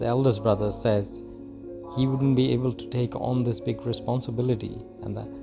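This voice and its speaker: Music plays in the background as a man speaks. He has a non-native accent and ordinary pitch variation. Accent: non-native English, apologises for. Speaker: movie recap narrator. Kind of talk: movie recap narration.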